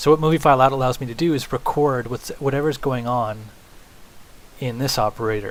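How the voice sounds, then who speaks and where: A man's medium-pitched voice at a moderate pace, ordinary pitch variation, and noticeable background noise. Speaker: software tutorial instructor. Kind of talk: screen-recorded tutorial. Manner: casual, with fillers.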